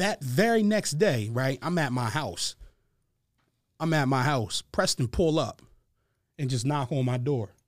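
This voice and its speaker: Speaking with an American accent, a man has a fairly high pitch, lively intonation, a fairly slow pace, and long, frequent pauses. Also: very clean recording, silent background. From Harrisburg, Pennsylvania. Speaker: rapper. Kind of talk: casual chat.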